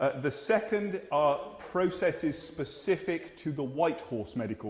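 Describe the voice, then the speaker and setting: Here is a man with an English accent. His intonation is lively. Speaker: GP (family doctor). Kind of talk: Q&A talk to community audience. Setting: hall with live audience, filmed. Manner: fast.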